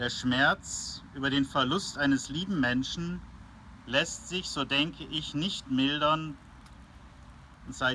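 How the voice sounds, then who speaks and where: Speaking very slowly with long, frequent pauses, a man has a bright, sharp tone. His medium-pitched voice carries lively intonation. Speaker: military chaplain. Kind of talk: sermon.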